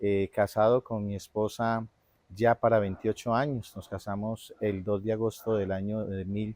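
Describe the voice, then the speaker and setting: Dry and close with no echo, a man's dark, mellow voice moves at a fairly slow pace. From Colombia, Quindío (Armenia). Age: 50s. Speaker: church member / minister. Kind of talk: interview. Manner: hesitant, many fillers.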